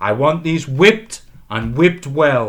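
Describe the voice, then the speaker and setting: Using a put-on character voice, a man speaks in a booming, stern tone at a fairly slow pace. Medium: read story. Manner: stern, deliberate.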